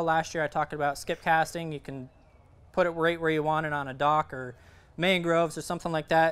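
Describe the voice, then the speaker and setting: A man's high voice on a very clean recording with a silent background. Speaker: fishing instructor. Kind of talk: presentation to audience. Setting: event with live audience. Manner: many filler words.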